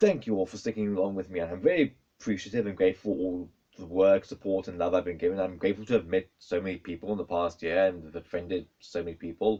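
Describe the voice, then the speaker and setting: A man with a South African accent speaks at a very fast pace. His pitch is very deep and low, and his intonation is fairly even. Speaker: YouTuber. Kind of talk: casual vlog.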